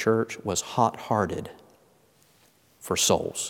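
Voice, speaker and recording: The speaker is a man with a Southern US accent. He talks at a fairly slow pace. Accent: Southern US (Georgia). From US South, Georgia. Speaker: pastor. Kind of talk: interview.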